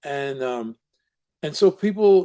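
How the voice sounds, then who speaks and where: A man with a New York accent speaks with a fairly high pitch, lively intonation and a dark, mellow tone. The sound is dry and close, with no echo. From Brooklyn, New York. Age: 70s. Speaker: recovery counselor and documentary subject. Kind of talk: interview conversation. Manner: halting, many repetitions.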